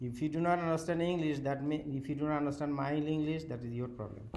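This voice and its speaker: Against noticeable background noise and audible room echo, a man with a strong non-native accent talks at a fairly quick pace and a fairly high pitch with ordinary pitch variation. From Bangladesh. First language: Bengali. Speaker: university professor. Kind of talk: lecture. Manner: halting.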